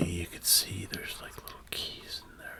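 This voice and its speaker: A man whispers very slowly in a calm tone. Noticeable background noise is present. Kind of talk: ASMR demonstration. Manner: calm, soft-spoken.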